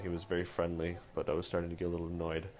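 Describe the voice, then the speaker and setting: A man's very deep, low voice with a strong Canadian accent, very fast pace, and noticeable background noise. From Canada. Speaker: comic book artist. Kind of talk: storytelling interview.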